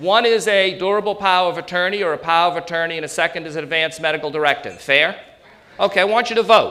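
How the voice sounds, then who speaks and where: With a New England accent, a man speaks in a raised, projected voice full of lively intonation. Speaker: elder law attorney. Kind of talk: seminar presentation. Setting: stage with audience. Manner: animated.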